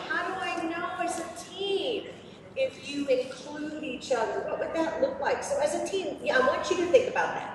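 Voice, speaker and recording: Over noticeable background noise and audible room echo, a woman speaks loud at an extremely high pitch. Her pitch swings very widely at a fairly slow pace. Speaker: robotics program presenter. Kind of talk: presentation to kids and parents. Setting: room with live audience, no microphone. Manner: animated. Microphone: speaking without microphone.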